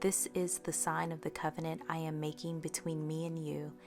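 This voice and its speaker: Music runs in the background as a woman speaks at a moderate pace. Her voice has a very deep, low pitch. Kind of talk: scripture reading.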